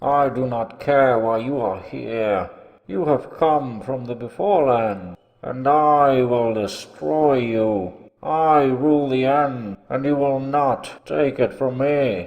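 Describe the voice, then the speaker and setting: Using a put-on character voice, a man of medium pitch speaks at a fairly slow pace. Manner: menacing, angry.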